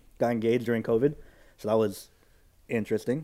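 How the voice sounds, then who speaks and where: A man with an American accent has a dark, mellow tone. The recording is very clean, with a silent background. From California Central Valley. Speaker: youth pastor. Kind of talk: casual chat.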